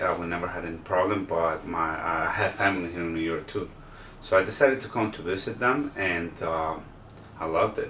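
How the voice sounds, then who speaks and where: A man talks fairly quickly in a very deep, low voice with ordinary pitch variation. Noticeable background noise and audible room echo fill the recording. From El Salvador. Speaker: real estate agent contestant. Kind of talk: interview. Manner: halting.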